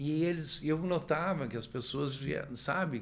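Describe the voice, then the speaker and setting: A man speaks with vocal fry. Room echo can be heard around his voice. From Brazil. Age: 60s. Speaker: motorcycle traveler and author. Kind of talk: podcast interview. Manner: halting, many repetitions.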